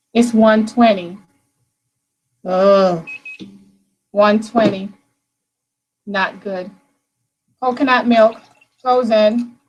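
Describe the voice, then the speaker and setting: Somewhat breathy, the voice moves at a very slow pace with long, frequent pauses. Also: woman, fairly high pitch for a woman. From Jamaica. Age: 30s. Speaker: soap maker. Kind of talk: live-stream tutorial. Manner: animated.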